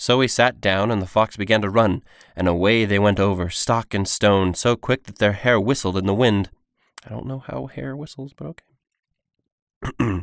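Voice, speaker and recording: The recording is very clean, with a silent background and a dry, close sound with no echo. The speaker keeps a moderate pace and ordinary pitch variation, with long, frequent pauses. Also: man, fairly low pitch for a man. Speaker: aspiring voice actor.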